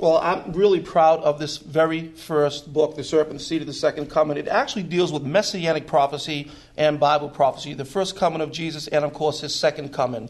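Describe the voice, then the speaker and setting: With an American accent, a man with a fairly high voice speaks at a fairly quick pace with hardly any pauses and fairly even intonation, over noticeable background noise. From Massachusetts, US. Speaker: Bible prophecy teacher and preacher. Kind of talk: interview, testimony.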